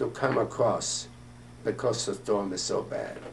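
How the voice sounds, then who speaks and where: A man speaks at a fairly slow pace. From Austria (Vienna). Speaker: war veteran. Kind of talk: interview answer.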